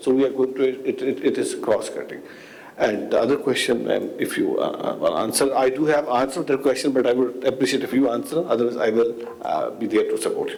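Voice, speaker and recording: A man speaks very fast, with noticeable background noise and audible room echo around him. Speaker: panelist, tourism official. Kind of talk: conference Q&A answer. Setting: conference panel with audience.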